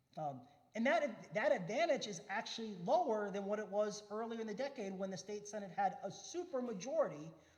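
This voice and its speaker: A man speaks in a high pitch with lively intonation at a fairly quick pace. Audible echo fills the room. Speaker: redistricting consultant and expert panelist. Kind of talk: panel talk. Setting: church forum with audience. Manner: fast.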